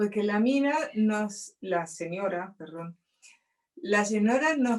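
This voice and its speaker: In a Rioplatense accent, a woman speaks at a very slow pace with lively intonation. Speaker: interview guest. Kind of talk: casual conversation.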